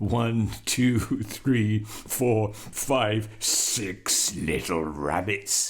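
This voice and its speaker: A man puts on a character voice with a fairly low pitch, speaking at a very slow pace over light background noise. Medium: read story. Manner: gloating, gruff.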